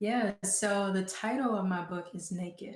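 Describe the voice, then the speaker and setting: With an American accent, a woman speaks at a medium pitch. Her voice comes across somewhat breathy. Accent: Southern US, comes out now and then. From Georgia, US South. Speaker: writer and performer. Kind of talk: interview.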